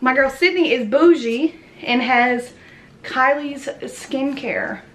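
Here a woman talks in a high voice. Her pitch varies in an ordinary way. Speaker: vlogger. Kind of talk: casual vlog chat. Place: home room. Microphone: phone near.

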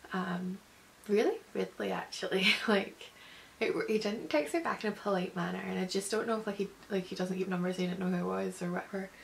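Over light background noise, a woman with a Scottish accent speaks at a fairly quick pace. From Scotland. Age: 20s. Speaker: vlogger. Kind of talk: casual talk to camera. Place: home room. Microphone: phone near.

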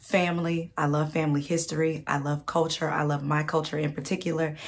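A woman's very deep, low voice at a moderate pace with fairly even intonation. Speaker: vlogger. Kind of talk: casual talk to camera. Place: home room. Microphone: phone near.

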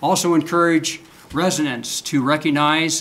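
A man's voice at a moderate pace. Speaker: vice mayor. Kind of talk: formal proclamation reading. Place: meeting room.

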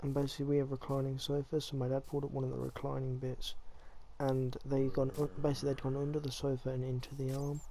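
A man with an English accent speaks at a very fast pace, his medium-pitched voice dark and mellow. His intonation is monotone and flat. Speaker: gaming youtuber. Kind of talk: gameplay commentary. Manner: casual, halting.

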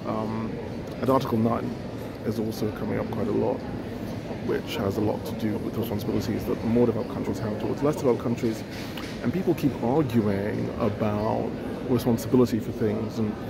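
A man speaks in a dry sound with no echo. Loud background noise runs underneath. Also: fairly quick pace. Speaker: conference attendee commenting. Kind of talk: commentary. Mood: thoughtful, slightly amused. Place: hall. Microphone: phone near.

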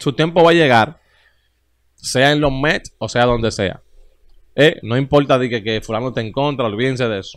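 Against a quiet background, a man talks at a moderate pace with ordinary pitch variation, taking long, frequent pauses. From Dominican Republic. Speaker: baseball YouTube show host. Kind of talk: casual sports commentary monologue. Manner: animated. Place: studio. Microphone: studio mic.

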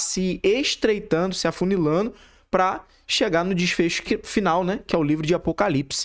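The background is quiet. At a moderate pace, a man talks. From Rio de Janeiro state, Brazil. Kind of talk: reaction commentary with preaching. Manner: halting, many repetitions and fillers. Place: home room. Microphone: studio mic.

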